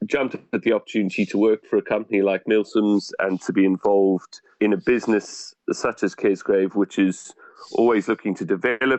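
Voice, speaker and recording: With a South African accent, a man speaks fairly quickly and hardly pauses, his fairly low pitch held in fairly even intonation on a dry, close recording with no echo. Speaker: hotel deputy manager. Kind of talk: podcast interview.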